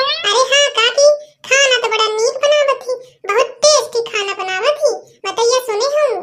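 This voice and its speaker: In a cartoonish character voice, a woman speaks at an extremely high pitch. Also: moderate pace. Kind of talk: cartoon comedy gossip. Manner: chatty, knowing.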